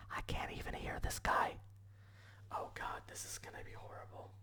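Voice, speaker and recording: A man whispers his words at a moderate pace. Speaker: ASMR creator learning a language. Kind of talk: ASMR language-learning tutorial. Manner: soft-spoken.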